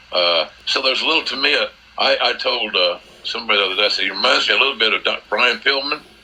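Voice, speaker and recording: With noticeable background noise, a man with an American accent speaks at a very fast pace. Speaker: wrestling commentator. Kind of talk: interview answer.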